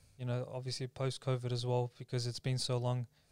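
A man with an Australian accent, medium-pitched, at a very fast clip, dry and close with no echo, on a very clean recording over a silent background. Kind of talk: casual chat.

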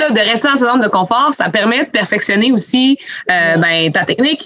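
A woman with a fairly high voice speaks at a moderate pace with lively intonation over noticeable background noise. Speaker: podcast host, ski coordinator. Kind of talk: casual chat.

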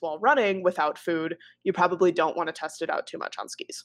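A woman with an American accent has an unremarkable speaking voice at a medium pitch, with fairly even intonation. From US Midwest, northern Wisconsin. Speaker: dog trainer. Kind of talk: casual interview chat. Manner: casual, many fillers.

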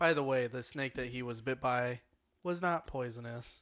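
A medium-pitched man's voice at a fairly slow pace. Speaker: podcast co-host. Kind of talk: casual chat over drinks, book discussion. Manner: playful, animated.

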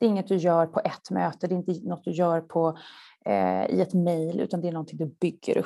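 The recording of this woman is very clean, with total silence behind her. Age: 40s. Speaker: marketing executive. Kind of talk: interview.

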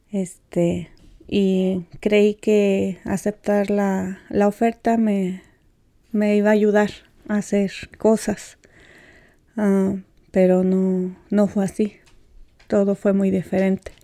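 In a very clean recording with a silent background, a woman speaks very slowly at a medium pitch, her intonation monotone and flat, her loudness very even, her tone dark and mellow, with long, frequent pauses. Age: 40s. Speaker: undocumented immigrant. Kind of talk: interview testimony. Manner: halting.

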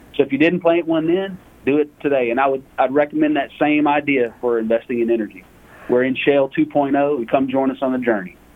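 Speaking with a Southern accent, a man shows ordinary pitch variation. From US South, Lake Charles, Louisiana. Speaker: energy fund portfolio manager. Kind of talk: interview.

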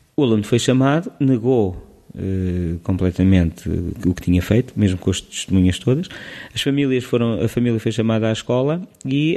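A man's dark, mellow voice in a Lisbon accent, medium in pitch with ordinary pitch variation, at a moderate pace. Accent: European Portuguese, Lisbon. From Portugal, Lisbon. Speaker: preschool teacher. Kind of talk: casual interview. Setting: school. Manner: halting.

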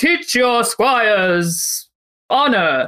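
Putting on a character voice, a woman speaks at a fairly high pitch with very wide pitch swings.

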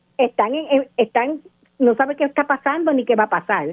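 Intonation rises and falls in a lively way. The pace is moderate. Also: woman. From Puerto Rico, Guánica. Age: 60s. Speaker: local resident. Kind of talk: radio interview. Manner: impassioned.

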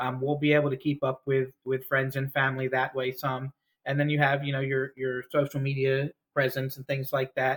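A somewhat breathy man with an American accent, medium pitch and monotone, flat intonation. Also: moderate pace. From New Jersey. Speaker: missionary. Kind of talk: casual interview. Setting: video call.

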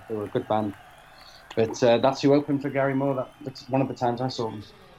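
A man with a Mancunian accent talks at a very fast pace in a monotone, flat intonation, with noticeable background noise behind him. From Manchester, northern England. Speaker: podcast guest, album reviewer. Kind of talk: casual chat.

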